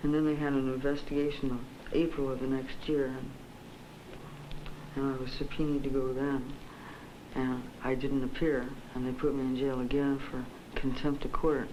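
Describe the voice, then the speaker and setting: A woman's very deep, low-pitched voice in a monotone, flat delivery at a moderate pace, with long, frequent pauses and noticeable background noise. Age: 20s. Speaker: psychiatric patient. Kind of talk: interview answer. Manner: clear, articulate standard English.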